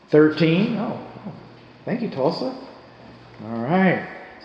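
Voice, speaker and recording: A man's voice amid noticeable background noise. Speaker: live streamer. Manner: casual, chatty.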